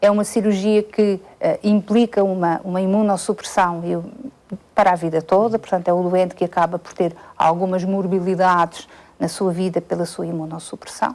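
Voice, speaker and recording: A woman at a medium pitch speaks with a monotone, flat intonation. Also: moderate pace. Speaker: medical specialist. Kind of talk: interview. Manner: halting, many fillers.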